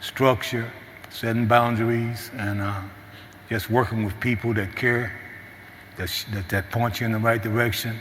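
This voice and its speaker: Speaking in a monotone, flat intonation with an American accent, a man at medium pitch keeps a moderate pace with long, frequent pauses, in a room with audible echo and noticeable background noise. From US Midwest, St. Louis, Missouri. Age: 60s. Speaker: recovery program graduate, mentor. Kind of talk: testimony. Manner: halting.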